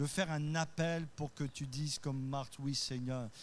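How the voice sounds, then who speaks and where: Audible room echo on a fairly high-pitched male voice. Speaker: pastor. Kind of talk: sermon. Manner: voice rises high when carried away; occasionally stumbling.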